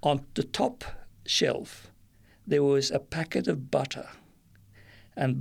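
A man at a very slow pace. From Nigeria (Kano), Lebanese parents. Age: old. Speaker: retired churchgoer. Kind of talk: testimony. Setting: studio. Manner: halting.

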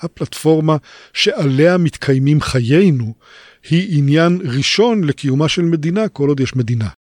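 A man's fairly high voice at a fairly slow pace. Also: dry, close sound with no echo. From Israel, kibbutz. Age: 60s. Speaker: professor, internet researcher. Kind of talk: interview. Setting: studio. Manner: hesitant, frequent fillers.

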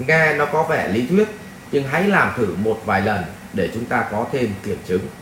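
At a fairly slow pace, a man speaks with very wide pitch swings, while noticeable background noise and audible room echo surround him. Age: 40s. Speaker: life coach and spiritual teacher. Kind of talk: Q&A lecture answering a viewer question. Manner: conversational, with rhetorical prompts to the audience.

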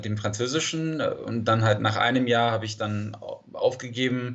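Noticeable background noise runs under the recording. A man speaks with a medium pitch. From California, San Diego. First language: English (speaking German). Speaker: language teacher and polyglot coach. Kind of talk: interview.

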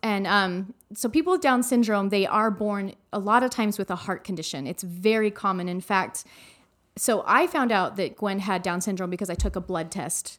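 A woman with an American accent and an ordinary speaking voice, medium pitch, ordinary pitch variation, and a moderate pace, on a very clean recording with a silent background. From Arizona. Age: 40s. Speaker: mother of a child with Down syndrome. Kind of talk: interview, personal story. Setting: studio.

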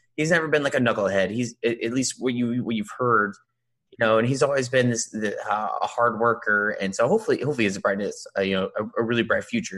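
Against a quiet background, a man with a normal speaking voice talks at a fairly quick pace and medium pitch with ordinary pitch variation. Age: 30s. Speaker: podcast co-host. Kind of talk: casual chat.

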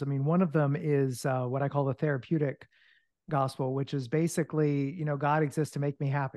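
A man with an American accent talks at a fairly quick pace in an unremarkable speaking voice, fairly high in pitch, over a quiet background. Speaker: author and ministry leader. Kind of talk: casual interview.

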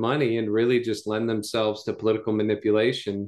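A man with an American accent uses a normal speaking voice at medium pitch and a fairly quick pace against a quiet background. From US South (North Carolina). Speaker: pastor. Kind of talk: casual chat.

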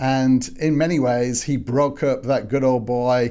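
A man with an English accent speaks at medium pitch. His tone is dark and mellow, his intonation fairly even. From northwest England, Manchester. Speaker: historian. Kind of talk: interview.

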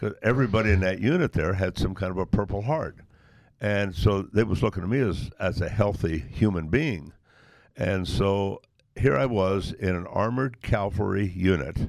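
Recorded very cleanly against a silent background, a man with a Midwestern American accent speaks in a fairly low pitch. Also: ordinary pitch variation, moderate pace. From US Midwest, Nebraska. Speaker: retired truck driver and army veteran. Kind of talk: interview. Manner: storytelling, folksy.

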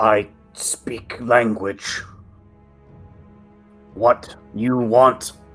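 Faint music plays behind a put-on character voice that is low in pitch and monotone, with flat intonation. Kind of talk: broken Common. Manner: gruff, broken speech.

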